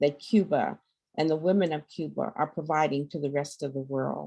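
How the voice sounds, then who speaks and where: A woman with a very deep, low pitch, vocal fry and a dark, mellow tone, at a moderate pace with fairly even intonation. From US South, Arkansas Mississippi Delta. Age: 70s. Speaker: activist and public health educator. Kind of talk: panel talk.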